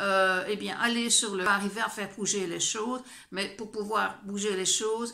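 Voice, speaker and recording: A woman of medium pitch speaks at a moderate pace, and the room echo is audible. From Belgium, French-speaking. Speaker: vlogger. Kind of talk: personal vlog. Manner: animated, indignant; hesitant, many fillers.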